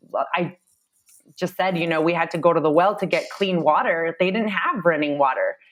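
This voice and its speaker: At a moderate pace, a woman speaks in a medium-pitched voice. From Phoenix, Arizona. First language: Spanish. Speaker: solar sales executive. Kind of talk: podcast interview.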